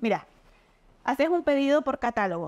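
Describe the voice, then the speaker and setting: Against a quiet background, a woman speaks. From Argentina, Mendoza/San Juan; Argentina. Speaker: nutritionist; guest. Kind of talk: interview, explanatory. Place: home room.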